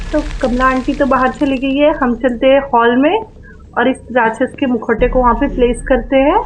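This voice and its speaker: At a moderate pace, a woman with a high voice talks at a very even loudness and with fairly even intonation, against noticeable background noise. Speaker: gaming YouTuber. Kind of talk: horror game voice commentary.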